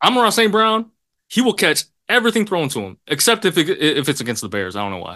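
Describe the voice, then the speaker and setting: Against a quiet background, a man talks at a very fast pace, his loudness swinging widely. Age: 20s. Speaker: sports podcast co-host. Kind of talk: casual chat.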